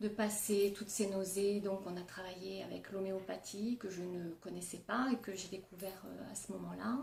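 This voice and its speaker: A woman at a medium pitch speaks in a monotone, flat way at a moderate pace, with noticeable background noise behind her. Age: 40s. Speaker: nurse and cancer patient. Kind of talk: testimony. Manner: hesitant, many fillers.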